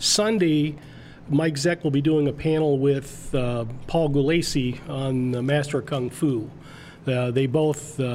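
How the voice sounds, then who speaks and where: Fairly high in pitch with fairly even intonation, this man has an ordinary speaking voice. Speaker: comic club moderator. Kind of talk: casual interview chat.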